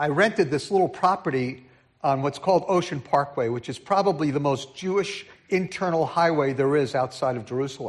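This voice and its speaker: A man with a New York accent speaks at a fairly high pitch with ordinary pitch variation. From New York City (Brooklyn, Queens), then New Jersey. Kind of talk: sermon. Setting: church.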